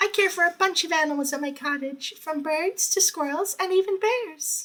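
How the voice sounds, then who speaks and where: A squeaky, put-on character voice from a man, extremely high in pitch, at a moderate pace. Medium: read story. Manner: soft, hesitant.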